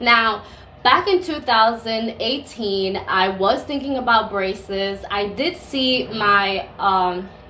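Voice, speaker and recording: A woman's fairly high, lively voice with an American accent, very slow in pace, with audible room echo. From Caribbean (US Virgin Islands, St. Croix, and Dominican). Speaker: beauty and lifestyle vlogger. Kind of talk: product review vlog. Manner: casual, conversational.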